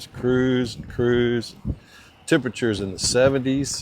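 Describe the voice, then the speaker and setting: Through noticeable background noise, a man at medium pitch speaks at a fairly slow pace. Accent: Alabama. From US South, Alabama. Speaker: motorcycle mechanic and vlogger. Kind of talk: casual chat. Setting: outdoors.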